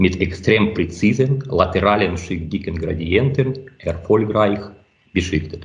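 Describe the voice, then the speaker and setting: A man with a fairly low pitch talks at a very slow pace. His voice is somewhat breathy, with audible room echo. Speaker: optics researcher. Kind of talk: interview. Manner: halting.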